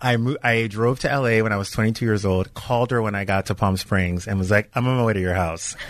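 A man with an American accent has a normal speaking voice, fairly low in pitch. He talks at a fairly quick pace with fairly even intonation and hardly any pauses. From US South, Louisiana. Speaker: entertainment TV host. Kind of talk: casual chat. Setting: studio.

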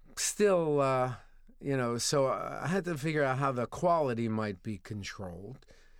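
In an American accent, a man speaks at a moderate pace with medium pitch and lively intonation. The recording is very clean, with a silent background. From New Jersey. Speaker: cheese shop owner. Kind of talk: interview. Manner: halting, many fillers.

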